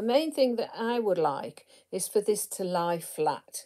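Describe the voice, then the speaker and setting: Her voice dark and mellow in tone, a woman speaks with very wide pitch swings. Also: quiet background. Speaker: crochet teacher. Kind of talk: casual tutorial chat. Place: home room. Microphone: phone near.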